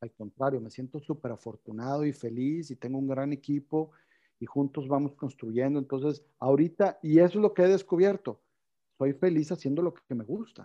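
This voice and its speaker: A man with a plain, everyday voice, fairly high in pitch with ordinary pitch variation, at a moderate pace, in a dry, close sound with no echo and a quiet background. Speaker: company CEO. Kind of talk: interview. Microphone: connection cutting out.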